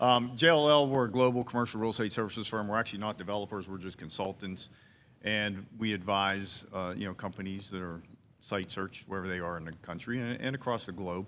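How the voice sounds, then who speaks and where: The speaker has a Pittsburgh accent and talks at a very fast pace. Pitch variation is ordinary. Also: man, fairly low pitch for a man. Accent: Pittsburgh (Yinzer). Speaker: commercial real estate consultant. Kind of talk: town hall panel talk. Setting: town hall with audience.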